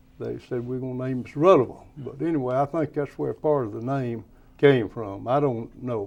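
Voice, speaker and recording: A man talks with a Tennessee accent at a moderate pace. His pitch is medium, with ordinary variation. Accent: Southern US (Tennessee). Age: 80s+. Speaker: plumbing and electrical business owner. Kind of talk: interview, reminiscing.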